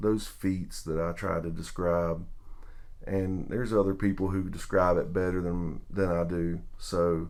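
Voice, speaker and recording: Using a Southern US accent, a man with a very deep, low pitch speaks at a fairly slow pace in monotone, flat intonation, with audible room echo. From US South. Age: middle-aged. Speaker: sports vlogger. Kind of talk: video tribute monologue. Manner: casual, hesitant.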